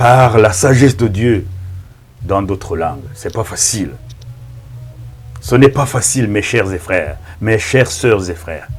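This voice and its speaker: Over noticeable background noise, a man with a fairly low voice speaks at a fairly slow pace with ordinary pitch variation and long, frequent pauses. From Rwanda. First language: Kinyarwanda (speaking French). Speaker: pastor. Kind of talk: sermon. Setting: filmed in front of a camera. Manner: halting.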